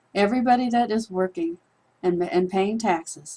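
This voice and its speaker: A woman talks in a normal speaking voice. Her intonation stays fairly even at a moderate pace. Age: 60s. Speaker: online business promoter. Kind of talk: persuasive monologue to camera.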